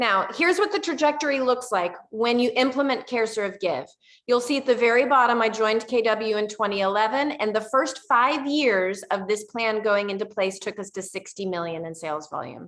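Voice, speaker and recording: An animated woman's voice, fairly high in pitch, with lively intonation, a moderate pace and hardly any pauses. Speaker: real estate team leader presenting seminar. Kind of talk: webinar presentation.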